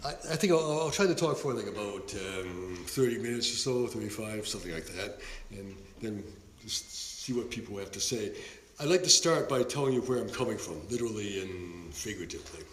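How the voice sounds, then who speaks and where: Over noticeable background noise and audible room echo, a man with an American accent speaks at a medium pitch and a fairly quick pace with lively intonation. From Boston, Massachusetts. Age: 70s. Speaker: sociology professor. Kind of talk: lecture. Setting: seminar room with audience.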